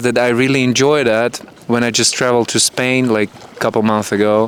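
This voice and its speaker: The speech moves at a fairly quick pace with fairly even intonation over noticeable background noise. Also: man. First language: Russian and Ukrainian. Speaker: hotel camera worker. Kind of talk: casual interview.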